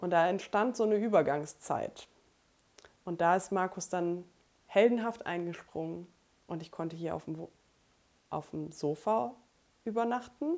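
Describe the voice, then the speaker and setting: Speaking at a medium pitch and a fairly slow pace, a woman shows ordinary pitch variation, big swings in loudness, and long, frequent pauses. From Germany, rural Lower Saxony (Emsland near Meppen). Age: 20s. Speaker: podcast co-host, bookkeeper and student. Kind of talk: casual chat.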